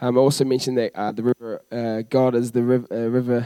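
With a New Zealand accent, a man speaks in a dark, mellow tone. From New Zealand, Christchurch. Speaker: youth worker. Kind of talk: church interview. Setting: church stage with congregation.

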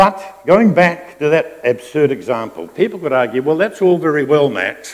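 A fairly high-pitched man with a New Zealand accent and lively intonation. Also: moderate pace. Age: 70s. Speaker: pastor. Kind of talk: sermon. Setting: church.

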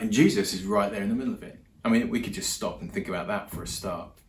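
A man talks at a fast pace with a fairly low pitch and ordinary pitch variation, and there is audible room echo.

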